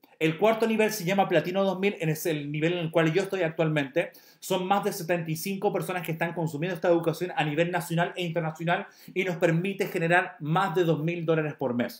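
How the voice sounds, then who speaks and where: An animated man talks fairly quickly in a high voice. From Chile. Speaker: network marketing promoter. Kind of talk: sales pitch.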